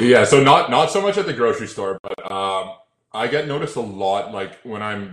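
This is an ordinary speaking voice with a Canadian accent. The pace is moderate. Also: man. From Toronto, Canada. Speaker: social media content creator. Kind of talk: casual chat.

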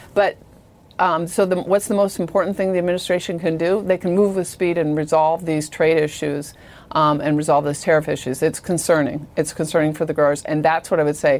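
A woman with an American accent speaks at a fairly quick pace in an unremarkable speaking voice, her fairly low pitch carried by fairly even intonation. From Iowa. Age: 50s. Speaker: company CEO. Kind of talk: interview.

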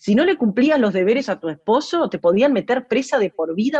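A woman with fairly high pitch speaks at a moderate pace with very wide pitch swings, in a dry, close sound with no echo. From Uruguay. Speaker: singer-songwriter. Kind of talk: interview. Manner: halting, with frequent repetitions.

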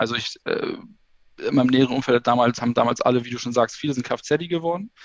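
Recorded with a dry, close sound and no echo, a man with an unremarkable speaking voice talks at medium pitch and a moderate pace, his intonation fairly even. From northern Germany, Schleswig-Holstein. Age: 30s. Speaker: kindergarten teacher. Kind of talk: interview. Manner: talkative, many fillers.

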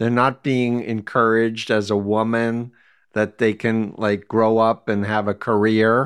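A man speaks in a medium pitch at a fairly slow pace. His loudness stays very even. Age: 60s. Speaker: podcast host. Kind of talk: casual interview. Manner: emotional, enthusiastic.

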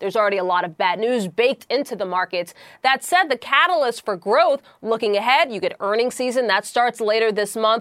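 A normal speaking voice from a woman, fairly high in pitch, fairly quick, with lively intonation and a dry, close sound with no echo. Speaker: business correspondent. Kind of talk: live report.

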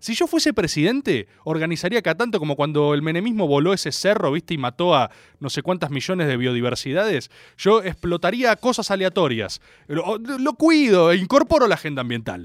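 In a Rioplatense accent, a man with a high pitch and very wide pitch swings talks in an animated tone, recorded very cleanly against a silent background with a dry, close sound and no echo. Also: fairly quick pace. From Argentina. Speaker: radio host. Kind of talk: casual chat.

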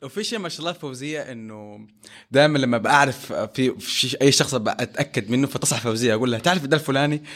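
Fairly quick man with a normal speaking voice, medium pitch, ordinary pitch variation and big swings in loudness. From Saudi Arabia, Jeddah. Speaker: former orphanage resident. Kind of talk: personal testimony in casual interview.

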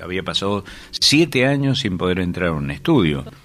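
Very deep and low in pitch, a man with a bright, sharp tone talks at a fairly slow pace using lively intonation. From Córdoba city, Argentina. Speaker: radio producer and presenter. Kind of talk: archive radio interview.

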